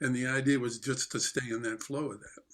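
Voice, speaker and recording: A man with an American accent speaks at a moderate pace. His medium-pitched voice stays flat and monotone. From New York, Port Chester. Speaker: jazz drummer and teacher. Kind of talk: casual interview chat. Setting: video call.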